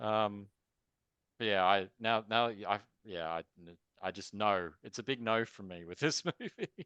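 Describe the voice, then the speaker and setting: Using a bright, sharp tone, a man with an Australian accent talks at a fairly slow pace and fairly low pitch, with ordinary pitch variation and big swings in loudness, in a dry, close sound with no echo. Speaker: film reviewer. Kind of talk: casual discussion.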